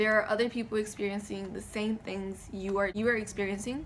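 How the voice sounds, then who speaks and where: Fairly quick pace with fairly even intonation. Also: woman. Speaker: college student. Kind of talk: class speech presentation. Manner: shaky when nervous.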